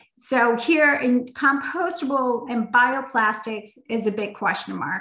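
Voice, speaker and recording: Fairly high-pitched and bright, sharp in tone, a woman speaks with ordinary pitch variation. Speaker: environmental nonprofit program leader. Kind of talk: webinar presentation and Q&A.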